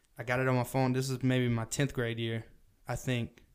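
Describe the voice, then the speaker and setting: Fairly quick and monotone, a man with a Southern US accent talks at a medium pitch with flat intonation. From US South. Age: 20s. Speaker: podcast host. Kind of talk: casual chat.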